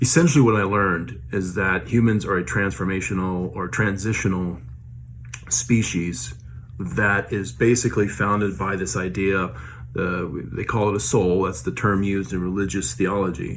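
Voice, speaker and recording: A man with a very deep, low voice speaks with lively intonation. Noticeable background noise and an audible room echo surround him. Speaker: vlogger sharing paranormal experiences. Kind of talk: casual monologue. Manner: fast; hesitant, many fillers.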